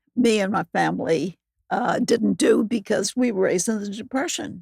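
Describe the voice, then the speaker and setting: A woman speaks with vocal fry at a medium pitch and a moderate pace. Her intonation is lively, and the sound is dry and close with no echo. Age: 80s+. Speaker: real estate investor. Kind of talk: interview answer.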